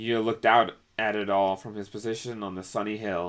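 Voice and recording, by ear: Reading aloud in a natural voice, the intonation kept fairly even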